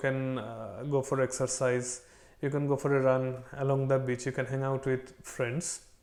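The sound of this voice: The man talks at a moderate pace and medium pitch, his slightly mellow tone showing little pitch movement.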